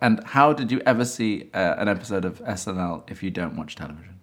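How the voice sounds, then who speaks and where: A man with an English accent talks with ordinary pitch variation on a very clean recording with a silent background. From England. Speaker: interviewer. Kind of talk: casual interview.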